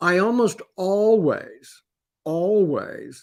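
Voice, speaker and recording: Here a man speaks with a Canadian accent. The recording is very clean, with a silent background. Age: 70s. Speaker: professional psychic. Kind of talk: conference talk. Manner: halting.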